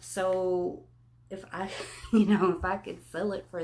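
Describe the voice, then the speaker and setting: In a medium pitch, a woman speaks with fairly even intonation. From Texas. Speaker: part-time reseller. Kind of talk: casual talk to camera.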